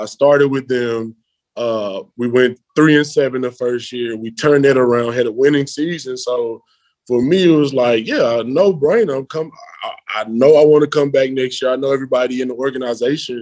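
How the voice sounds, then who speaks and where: The man's pitch is medium and his intonation fairly even as he talks at a moderate pace. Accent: Memphis. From Memphis, US South. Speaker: American football player. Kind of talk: interview.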